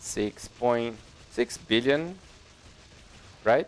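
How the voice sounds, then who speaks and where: With music in the background, a man speaks with a non-native accent and ordinary pitch variation. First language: not English. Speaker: gaming youtuber. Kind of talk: tutorial. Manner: halting.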